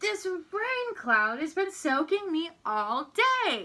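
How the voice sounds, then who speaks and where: Very slowly, a woman does a put-on character voice at an extremely high pitch with very wide pitch swings. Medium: read story. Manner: grumbling.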